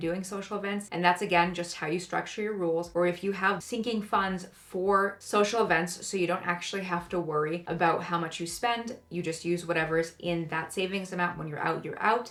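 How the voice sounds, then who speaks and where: A woman speaks over noticeable background noise. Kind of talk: casual talk to camera about budgeting. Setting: home recording with new mic, occasional clipping.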